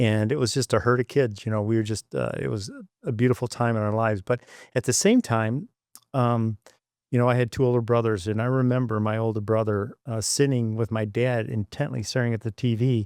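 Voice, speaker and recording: At a fairly quick pace, a man with an American accent talks at medium pitch with fairly even intonation. The sound is dry and close with no echo, in a very clean recording with a silent background. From US Midwest, Jackson, Michigan. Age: 60s. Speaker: engineer and former flight controller. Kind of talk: interview. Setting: podcast studio.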